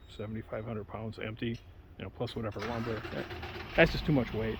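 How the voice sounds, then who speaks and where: This man speaks with vocal fry. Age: 60s. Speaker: home builder. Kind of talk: on-site tutorial. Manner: casual, halting with fillers.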